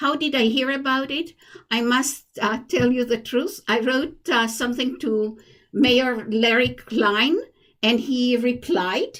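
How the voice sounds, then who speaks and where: With an Israeli accent, a woman speaks at a very slow pace and very even loudness. Her voice is high in pitch, with ordinary pitch variation. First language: Hebrew. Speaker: commission applicant, poet. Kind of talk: interview. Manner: halting.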